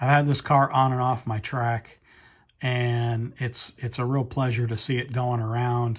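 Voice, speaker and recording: A somewhat breathy man's voice, medium in pitch, fairly slow and monotone with flat intonation. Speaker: slot car reviewer. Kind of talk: product review. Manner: halting, many fillers.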